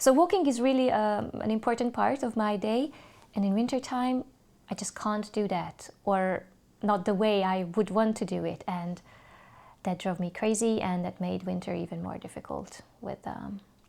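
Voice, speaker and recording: A woman with a Hungarian accent, medium in pitch and dark and mellow in tone, in a very clean recording with a silent background. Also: ordinary pitch variation, moderate pace. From Hungary, Budapest. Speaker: English teacher. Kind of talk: interview. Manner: hesitant, many fillers.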